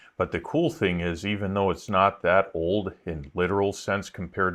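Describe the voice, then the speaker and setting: A man with a Wisconsin accent speaks at a moderate pace in a very deep, low pitch with fairly even intonation. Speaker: YouTuber. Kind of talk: casual vlog narration. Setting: outdoors.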